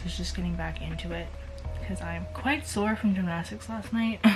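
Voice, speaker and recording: A woman is speaking with audible room echo. Music plays in the background. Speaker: vlogger. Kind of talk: casual vlog talk to camera.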